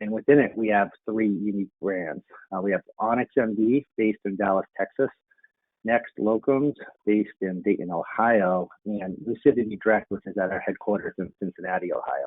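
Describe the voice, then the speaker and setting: A man speaks with a Boston accent. His pitch variation is ordinary. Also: fairly low pitch for a man, moderate pace. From greater Boston area. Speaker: medical staffing executive. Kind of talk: panel discussion.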